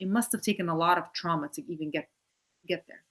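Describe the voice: Speaking fast in a fairly low pitch, a woman with an American accent has a fairly bright tone. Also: ordinary pitch variation.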